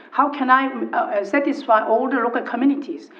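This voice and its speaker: Speaking at a moderate pace in a high voice, a woman is heard over noticeable background noise with audible room echo. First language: not English. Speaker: local councillor. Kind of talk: council meeting debate. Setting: council chamber. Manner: halting.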